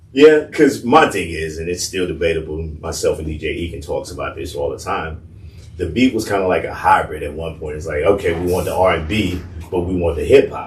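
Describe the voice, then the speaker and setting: Someone with an American accent talks at a fairly quick pace, with big swings in loudness. Audible room echo surrounds the voice. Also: man. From US South. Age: 50s. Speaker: radio personality. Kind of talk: casual interview chat.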